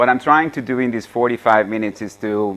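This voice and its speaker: A man with a Hungarian accent, against a quiet background. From Hungary. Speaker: AI author and speaker. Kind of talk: seminar lecture. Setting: seminar room with audience. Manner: halting, many fillers.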